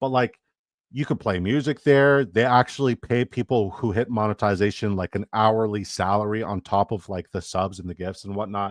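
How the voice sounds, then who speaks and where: A man's fairly low voice with ordinary pitch variation, on a very clean recording with a silent background and a dry, close sound with no echo. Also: moderate pace. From Canada. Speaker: fantasy football streamer. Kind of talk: live stream chat. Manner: animated.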